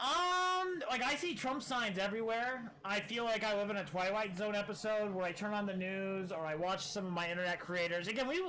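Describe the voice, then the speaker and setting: Amid noticeable background noise, a man with an American accent speaks in a raised, projected voice, high in pitch with ordinary pitch variation. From US Midwest, small-town Iowa. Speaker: streamer. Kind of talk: casual political livestream commentary. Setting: live stream. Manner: halting, many fillers and repeated words.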